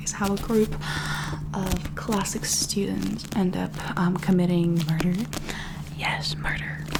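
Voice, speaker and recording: This woman is soft-spoken, and noticeable background noise sits behind her words. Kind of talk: ASMR book haul ramble to camera. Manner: soft-spoken, rambling.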